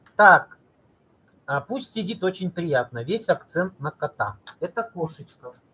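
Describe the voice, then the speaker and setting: A man's high, bright and sharp voice with very wide pitch swings, at a very slow pace. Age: 40s. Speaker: video blogger and cosmetics sales representative; video blogger, cosmetics sales representative. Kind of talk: live stream talk to viewers. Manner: animated; halting. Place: home room. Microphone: webcam.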